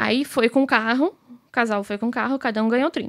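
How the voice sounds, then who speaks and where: The background is quiet. The pace is moderate. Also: woman. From Brazil. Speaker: business owner; podcast guest. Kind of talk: casual chat. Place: studio. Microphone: studio mic.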